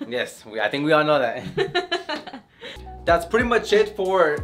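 A man's voice over faint background music. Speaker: business owner vlogger. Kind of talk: casual vlog chat. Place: office. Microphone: camera far.

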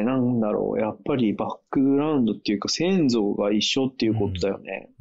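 A man speaks at a fairly quick pace in a normal speaking voice. His pitch sits in the medium range. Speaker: co-host living abroad. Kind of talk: casual chat. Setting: video call.

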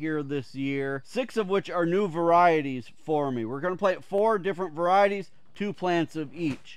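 The sound is dry with no echo as a man talks at a moderate pace, his pitch varying in an ordinary way. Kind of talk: casual vlog chat. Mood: relaxed, friendly. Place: garden.

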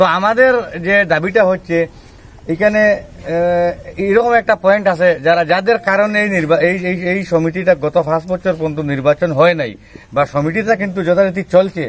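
This man has a high pitch and ordinary pitch variation. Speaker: interviewee. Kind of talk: interview answer. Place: street. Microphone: handheld.

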